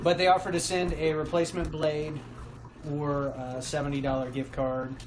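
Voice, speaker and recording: Loud background noise fills the recording. A man's voice is heard through it. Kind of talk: casual vlog chat. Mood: relaxed, chatty. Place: kitchen. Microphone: phone near.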